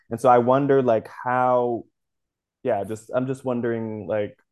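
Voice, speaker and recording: This is a man with a medium pitch. His pitch varies in an ordinary way. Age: 20s. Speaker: podcast co-host, astrology and tarot. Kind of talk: casual chat. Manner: halting, many restarts.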